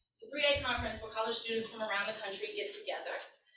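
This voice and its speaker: Audible room echo surrounds a bright, sharp voice with an American accent. Pitch variation is ordinary. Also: woman. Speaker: community organizer and workshop leader. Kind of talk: workshop presentation. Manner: loud; animated.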